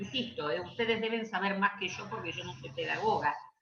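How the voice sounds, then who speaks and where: A plain, everyday voice from a woman, medium in pitch, at a fairly quick pace. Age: 60s. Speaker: education law speaker. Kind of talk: Q&A session.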